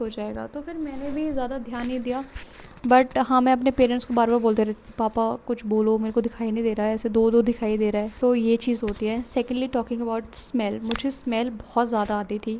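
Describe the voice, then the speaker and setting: Over noticeable background noise, a woman speaks at a moderate pace with a fairly high pitch and monotone, flat intonation. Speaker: vlogger sharing stroke recovery. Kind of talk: personal testimony. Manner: code-switching Hindi and English.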